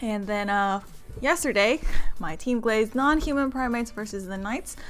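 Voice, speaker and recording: Music plays in the background as a woman speaks at a moderate pace. Her pitch is fairly high, with ordinary variation. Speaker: esports stream caster. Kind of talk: stream intro, casual announcements. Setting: live stream.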